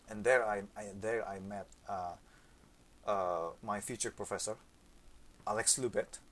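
Long, frequent pauses break up a man's fairly low-pitched speech, delivered with an Indonesian accent. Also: fairly even intonation, fairly slow pace. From Indonesia, Yogyakarta. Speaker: saxophonist. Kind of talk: interview. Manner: halting.

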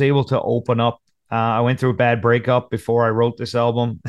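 In a Newfoundland accent, a man talks at a fairly quick pace against a quiet background. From Newfoundland, Conception Bay South. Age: 30s. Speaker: country singer. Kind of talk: casual chat. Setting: video call.

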